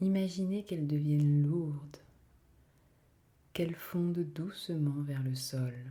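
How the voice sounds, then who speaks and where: In a calm tone, a woman with a very deep, low pitch speaks at a very slow pace, with ordinary pitch variation and long, frequent pauses. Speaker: meditation guide. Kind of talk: guided meditation. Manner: slow, calm.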